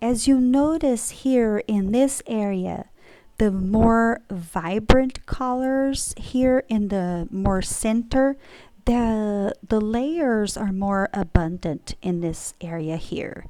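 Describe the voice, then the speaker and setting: Speaking at a very slow pace in a Brazilian accent, a woman uses a fairly high pitch, a dark, mellow tone and lively intonation. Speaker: painter. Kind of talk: casual explanation to camera.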